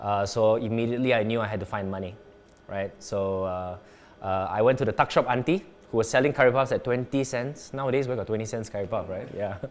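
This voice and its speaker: A man at a medium pitch talks at a fairly quick pace with fairly even intonation in a normal speaking voice. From Canada, then Singapore from age nine. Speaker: entrepreneur and former radio DJ. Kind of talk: interview. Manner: casual.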